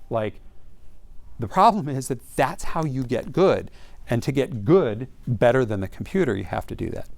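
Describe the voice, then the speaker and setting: A man talks at a medium pitch and moderate pace. His pitch swings very widely. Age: 50s. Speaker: venture capitalist. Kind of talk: lecture. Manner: casual, conversational.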